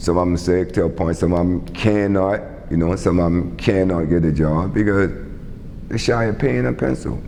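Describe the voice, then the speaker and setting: Over noticeable background noise, a man with a South Carolina Lowcountry accent talks at a moderate pace at a very deep, low pitch, with ordinary pitch variation and very even loudness. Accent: Southern US, Lowcountry South Carolina. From Charleston, South Carolina. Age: 60s. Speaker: community advocate and youth sports coach. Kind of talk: oral history interview answer.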